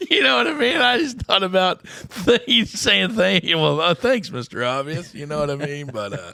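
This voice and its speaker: Over noticeable background noise, a man with an American accent speaks at a moderate pace in a high pitch, his pitch swinging very widely. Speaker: podcast host. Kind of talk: casual chat. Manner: rambling with many fillers.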